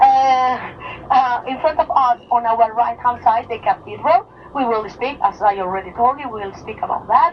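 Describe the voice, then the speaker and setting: Speaking with a Mallorcan accent, a woman uses a high pitch, lively intonation and a moderate pace with hardly any pauses. Her loudness swings widely, and noticeable background noise is present. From Mallorca, Spain (Palma). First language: Mallorquin Catalan / Spanish. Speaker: tour guide. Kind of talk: guided tour commentary. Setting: on a tour bus. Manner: halting, many fillers and restarts; enthusiastic, talkative.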